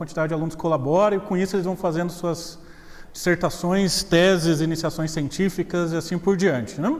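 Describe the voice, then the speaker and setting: With a slight Minas Gerais accent, a man talks at a moderate pace and a high pitch. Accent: slight Minas Gerais (mineiro). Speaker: professor. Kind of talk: lecture. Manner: casual, joking.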